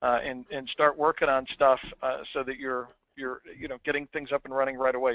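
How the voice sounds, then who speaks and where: A man speaks at a fairly quick pace. His intonation is monotone and flat. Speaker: webinar host. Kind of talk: webinar wrap-up. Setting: webinar call. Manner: fast.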